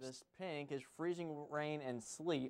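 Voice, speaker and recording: A man with an unremarkable speaking voice, fairly high pitch and moderate pace. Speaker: television weather forecaster. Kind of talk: weather forecast broadcast.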